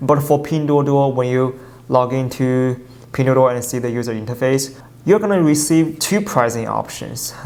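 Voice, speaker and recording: Someone speaks at a moderate pace in a Chinese accent, with noticeable background noise. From China. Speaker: YouTuber covering Chinese business. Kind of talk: casual explainer video. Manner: halting, with fillers and self-corrections.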